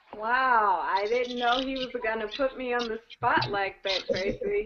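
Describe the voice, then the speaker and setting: Over noticeable background noise, a woman speaks fairly slowly at a fairly high pitch. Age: 20s. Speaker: network marketing team member. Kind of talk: personal testimony. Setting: video call.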